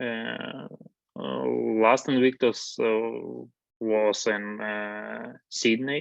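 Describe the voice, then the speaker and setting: A man with a Ukrainian accent, at a very slow pace. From Ukraine, Zaporizhzhia. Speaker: war veteran. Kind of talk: interview. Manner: halting, many hesitations.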